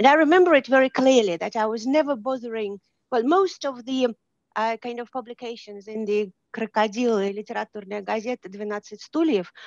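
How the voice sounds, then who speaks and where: In a Russian accent, a woman talks fairly quickly at a fairly high pitch with ordinary pitch variation and big swings in loudness, the sound dry and close with no echo. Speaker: audience member. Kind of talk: audience question.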